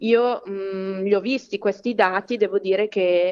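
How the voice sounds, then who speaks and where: The speaker is a woman with a fairly slow delivery. Her intonation is fairly even. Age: 30s. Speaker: psychologist and local politician. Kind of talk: interview. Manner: halting, many fillers.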